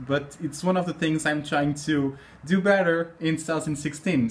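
A man's voice shows ordinary pitch variation while he keeps a moderate pace. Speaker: vlogger. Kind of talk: casual talk to camera. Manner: upbeat, chatty. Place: home room. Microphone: phone near.

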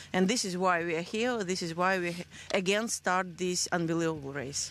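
In a Russian accent, a woman speaks at a moderate pace with a fairly low pitch and ordinary pitch variation, the sound dry with no echo. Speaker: race founder. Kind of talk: interview. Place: open country. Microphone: handheld.

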